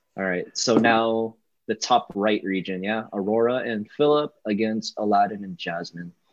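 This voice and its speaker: A man's fairly low, a normal speaking voice, with ordinary pitch variation at a moderate pace. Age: 20s. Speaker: podcast co-host. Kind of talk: casual chat.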